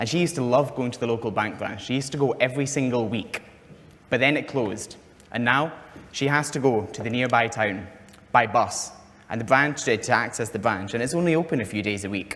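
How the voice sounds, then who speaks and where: Audible room echo surrounds a man with a Scottish accent who talks at a fairly quick pace, medium in pitch and with ordinary pitch variation. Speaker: fintech company founder. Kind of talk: conference presentation. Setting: conference stage with audience.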